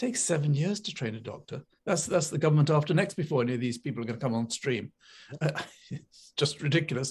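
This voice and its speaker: The man's voice is fairly high and somewhat breathy. He talks at a very fast pace. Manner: halting, hesitant.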